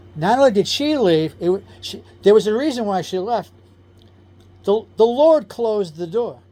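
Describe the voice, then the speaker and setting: In a New York accent, a man with a dark, mellow tone speaks at a moderate pace, his pitch swinging very widely. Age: 60s. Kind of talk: personal testimony. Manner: casual, self-correcting.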